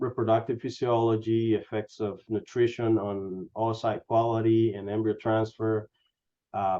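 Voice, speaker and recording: A man speaks at a medium pitch and a fairly slow pace, his intonation monotone and flat. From Honduras. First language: Spanish. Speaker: animal science industry scientist. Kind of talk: career interview.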